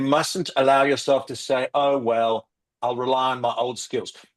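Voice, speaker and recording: Here a man speaks in an animated tone at medium pitch and a moderate pace. The sound is dry and close with no echo, over a quiet background. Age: 60s. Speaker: recruitment industry expert. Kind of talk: podcast interview.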